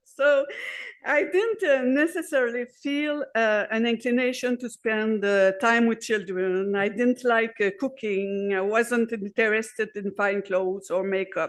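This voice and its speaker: In a Quebec accent, a woman talks at a fairly slow pace, her fairly high pitch showing ordinary variation. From Quebec, Montreal. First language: French. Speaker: activist speaker. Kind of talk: conference speech. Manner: halting.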